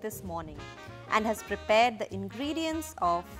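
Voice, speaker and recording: A woman's speech unfolds at a moderate pace. Music sounds behind her. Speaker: cooking narrator. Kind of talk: documentary narration.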